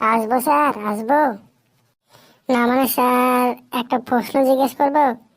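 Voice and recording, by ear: A woman uses a cartoonish character voice at a high pitch. Her delivery is monotone and flat, at a moderate pace.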